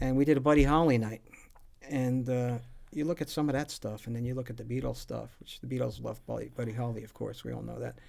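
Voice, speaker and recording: A man with a New Jersey accent talks at a very fast pace, with big swings in loudness. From northern New Jersey. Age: 60s. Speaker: musician. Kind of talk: casual chat. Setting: live stream from music shop.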